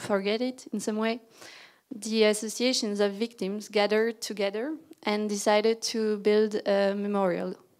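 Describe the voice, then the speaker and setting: The speaker uses a French accent, a fairly slow pace, and fairly even intonation. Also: woman. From Belgium (Brussels). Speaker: landscape architect. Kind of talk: lecture.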